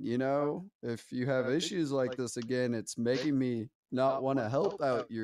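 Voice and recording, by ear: Over a quiet background, the text is read aloud in a natural voice, its intonation fairly even.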